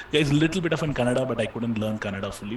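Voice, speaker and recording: Noticeable background noise behind a man speaking at medium pitch, his pitch variation ordinary. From India, Chennai. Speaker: online course instructor. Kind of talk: live Q&A session.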